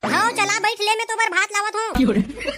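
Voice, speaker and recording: A woman puts on a cartoonish character voice at an extremely high pitch, with ordinary pitch variation and a moderate pace. Clear background noise is present. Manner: warm, homely.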